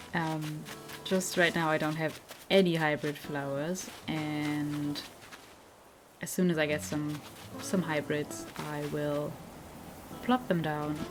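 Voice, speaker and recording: With music in the background, a woman speaks very slowly in a very deep, low pitch, with ordinary pitch variation and long, frequent pauses. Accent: German. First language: German. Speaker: gaming youtuber. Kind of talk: gameplay commentary. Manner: relaxed, hesitant with fillers.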